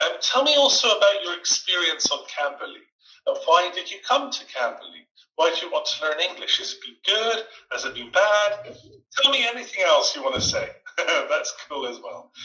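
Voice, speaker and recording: A man with a Scottish accent speaks at a moderate pace. His loudness swings widely. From Scotland. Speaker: online English tutor. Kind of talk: online group class conversation.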